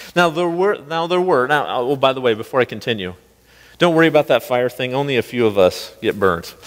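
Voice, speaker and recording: A plain, everyday voice with an American accent, lively intonation and a fairly quick pace against a quiet background. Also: man, fairly high pitch for a man. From US Midwest. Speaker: pastor. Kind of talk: sermon. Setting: church. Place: church.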